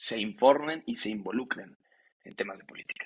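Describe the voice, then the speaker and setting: Here a man speaks in a normal speaking voice at a medium pitch. His pace is moderate. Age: 20s. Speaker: young politician, legislative adviser. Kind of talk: podcast interview.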